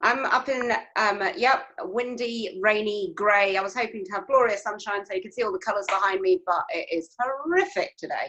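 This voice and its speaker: A woman speaks at a moderate pace with an English accent. Her intonation is lively, and she hardly pauses at all. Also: fairly high pitch for a woman. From England. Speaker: yarn and kit business owner. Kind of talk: casual interview chat.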